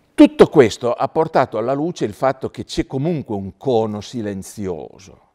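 A man's dark, mellow voice with lively intonation, big swings in loudness, hardly any pauses and a moderate pace, over a quiet background. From Italy. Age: 70s. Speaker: scientist and public speaker on space; public speaker. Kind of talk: public lecture. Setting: theatre stage with audience. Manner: informal, conversational. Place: hall.

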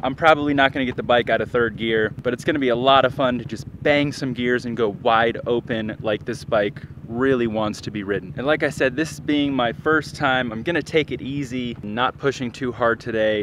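At a moderate pace with hardly any pauses and ordinary pitch variation, the voice comes through as a dry sound with no echo over light background noise. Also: man. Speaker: motorcycle vlogger. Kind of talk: casual vlog chat. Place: stadium. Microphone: phone near.

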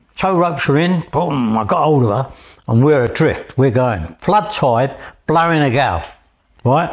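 Speaking with an East London accent, a man with fairly high pitch and a somewhat breathy voice uses lively intonation at a fairly slow pace over a quiet background. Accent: East London (Cockney). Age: 80s+. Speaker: Thames lighterman and tug captain. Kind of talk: interview storytelling. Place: home room. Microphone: lapel.

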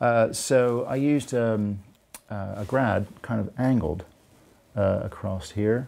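In an American accent, a man speaks at a very slow pace in a dark, mellow tone with ordinary pitch variation. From United States. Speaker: landscape photographer. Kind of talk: interview answer. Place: home room. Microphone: lapel.

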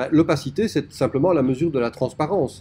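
Somewhat breathy and dark, mellow in tone, a man's fairly high voice carries lively intonation. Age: 40s. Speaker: typography teacher. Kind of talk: lecture. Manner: hesitant, frequent filler 'euh'.

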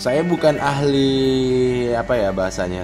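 Clear music plays in the background as a man speaks with a South Sulawesi accent. His pace is very slow and his pitch varies in an ordinary way. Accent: Bone regional Indonesian. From Bone, South Sulawesi, Indonesia. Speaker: unboxing vlogger. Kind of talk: casual unboxing talk to camera. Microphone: phone near.

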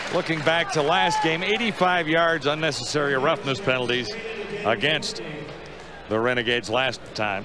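A man's fairly high voice with very wide pitch swings and very even loudness, moderate in pace, dry with no echo, over noticeable background noise. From Canada. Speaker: play-by-play announcer. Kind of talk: live commentary. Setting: stadium broadcast booth.

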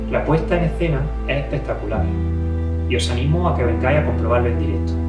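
Over loud background music, a man talks at a very fast pace. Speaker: physician and amateur theatre performer, town crier in a Holy Week passion play. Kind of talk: promotional talk to camera. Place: home room.

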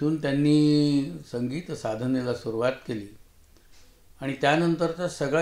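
Audible room echo surrounds a man speaking at a medium pitch with ordinary pitch variation. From Maharashtra, India. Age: 70s. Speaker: retired mathematics professor and writer; retired mathematics professor. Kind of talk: interview. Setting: studio. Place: studio.

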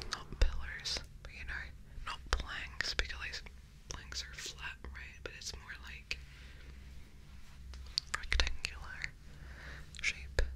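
Whispering and breathy, a woman speaks at a very slow pace with long, frequent pauses. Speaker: ASMR creator. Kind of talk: ASMR whispered ramble. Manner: whispered, breathy; soft, slow, calm. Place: home room. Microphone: studio mic.

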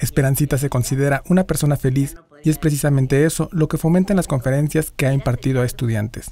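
Talking at a very fast pace, a man with a fairly high pitch sounds somewhat breathy, with a dark, mellow tone, fairly even intonation and very even loudness. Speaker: news narrator. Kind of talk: TV news narration.

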